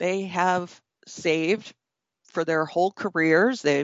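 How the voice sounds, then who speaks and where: A woman speaks in an unremarkable speaking voice, fairly low in pitch with fairly even intonation. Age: 50s. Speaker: attorney, former securities regulator. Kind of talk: interview.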